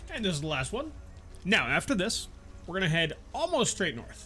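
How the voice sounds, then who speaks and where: A man's high-pitched voice at a very fast pace, with music in the background. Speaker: game guide creator. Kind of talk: video game tutorial voiceover.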